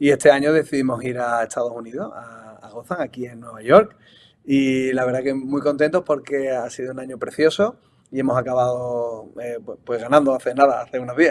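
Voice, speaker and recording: A man of medium pitch talks at a fairly quick pace with ordinary pitch variation and big swings in loudness. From Spain, Seville. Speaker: football coach and analyst. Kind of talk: interview.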